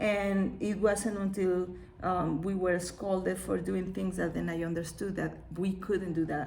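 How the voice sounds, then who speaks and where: A woman with a Mexican accent at a medium pitch and moderate pace, with audible room echo and noticeable background noise. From Mexico. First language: Spanish. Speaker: children's book author and illustrator. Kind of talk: live-streamed book read aloud with comments. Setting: live video stream from her studio.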